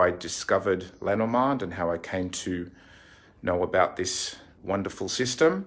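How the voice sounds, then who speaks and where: At a moderate pace, a man with an Australian accent speaks in a fairly low pitch with ordinary pitch variation. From Australia, Sydney. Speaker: fortune teller and card reading teacher. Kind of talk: casual tour and tutorial. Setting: in own shop by the sea.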